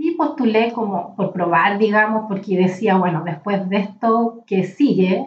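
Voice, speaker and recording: A woman's somewhat breathy voice at a fairly slow pace. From Chile, Valparaíso region (rural mountain area). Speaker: literature professor and librarian. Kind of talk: interview conversation.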